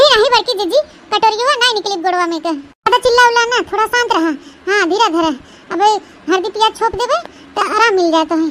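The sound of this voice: A woman does a cartoonish character voice at an extremely high pitch. She moves at a fairly quick pace with lively intonation.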